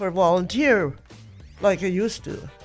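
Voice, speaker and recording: A woman talks at a very slow pace with ordinary pitch variation. Music plays in the background. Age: 80s+. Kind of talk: interview answer.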